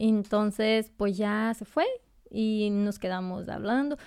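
A woman with a Brazilian accent, fairly high-pitched and fairly slow, in a dry, close sound with no echo over a silent background on a very clean recording. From Brazil, near the Bolivian border. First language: Portuguese (speaking Spanish). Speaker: nurse. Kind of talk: casual interview chat.

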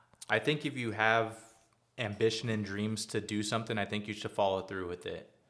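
In a very clean recording with a silent background, a man with an American accent uses a normal speaking voice at a fairly low pitch, fairly even intonation and a fairly quick pace. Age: 30s. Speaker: glass company owner. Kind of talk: interview.

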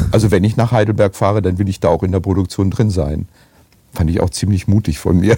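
This man's pitch is very deep and low. The way his pitch varies is ordinary. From Germany, Essen (Ruhr area). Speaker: actor and voice actor. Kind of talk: casual chat.

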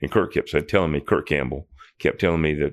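A man speaks at a very fast pace with a very deep, low pitch. Vocal fry runs through his voice. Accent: Tennessee. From Nashville, Tennessee. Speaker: prison ministry volunteer mentor. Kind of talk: interview. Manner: halting.

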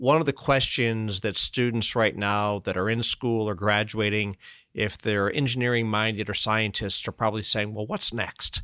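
Recorded very cleanly against a silent background, a man with an ordinary speaking voice talks at a moderate pace, his fairly low pitch held in fairly even intonation. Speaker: podcast host. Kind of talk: interview.

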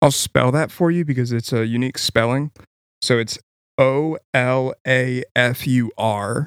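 With a dry, close sound and no echo, a man in a plain, everyday voice talks at a fairly slow pace and medium pitch, his intonation fairly even. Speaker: podcast co-host. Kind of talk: casual chat. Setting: studio.

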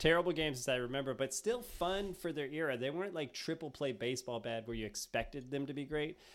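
A man talks at a very fast pace with hardly any pauses, his fairly high pitch carrying lively intonation. The recording is very clean, with a silent background. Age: 40s. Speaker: podcast host. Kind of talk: casual chat. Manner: animated.

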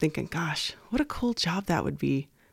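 Talking at a fairly quick pace with an American accent, a woman is heard on a very clean recording with a silent background, the sound dry and close with no echo. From rural Nevada. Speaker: college administrator. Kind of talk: interview.

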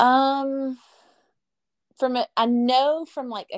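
Talking at a very slow pace, a woman with a Southern US accent uses a high pitch. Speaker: travel agent guest. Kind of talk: casual chat.

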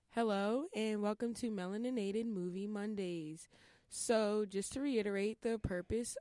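Recorded very cleanly against a silent background, a woman with an American accent uses an ordinary speaking voice at a medium pitch and a fairly slow pace. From Pennsylvania, near Philadelphia. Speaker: podcast host. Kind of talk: casual interview chat. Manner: scripted show intro.

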